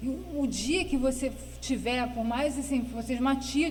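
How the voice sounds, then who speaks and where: At a moderate pace, a woman speaks with a dark, mellow tone, vocal fry and fairly even intonation, and audible room echo surrounds her voice. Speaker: guest with Parkinson's disease. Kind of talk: interview. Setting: studio.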